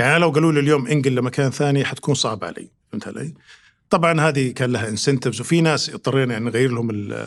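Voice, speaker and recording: A man's medium-pitched voice rattles along very fast, its pitch rising and falling in an ordinary way. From Saudi Arabia, Riyadh. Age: 50s. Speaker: consulting firm executive. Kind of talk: podcast interview. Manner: hesitant, many fillers.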